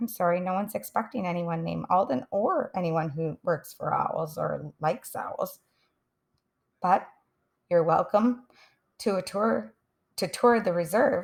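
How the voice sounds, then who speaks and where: A put-on character voice, female-sounding and raspy, sits at a middle pitch. It moves at a moderate pace with long, frequent pauses. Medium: read story. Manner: polite, helpful.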